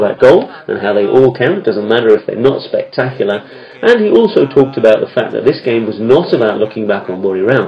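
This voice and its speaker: Amid noticeable background noise, a man with a medium-pitched voice and an upbeat, enthusiastic tone races along at a very fast pace with hardly any pauses. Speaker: football commentator. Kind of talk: football match-highlights commentary, voiced over replays in a polished broadcast style. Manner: fluent, upbeat and enthusiastic, with praise-filled phrasing and a steady, narrative flow.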